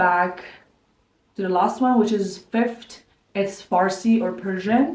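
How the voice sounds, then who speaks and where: A woman speaks at a medium pitch. Audible room echo surrounds her voice. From Kazakhstan. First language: Kazakh. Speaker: lifestyle vlogger. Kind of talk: house tour interview.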